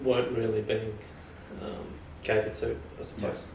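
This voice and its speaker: A man with an Australian accent is heard with audible room echo and noticeable background noise. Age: 30s. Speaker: fashion merchandiser. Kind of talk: casual podcast conversation. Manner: hesitant, many fillers.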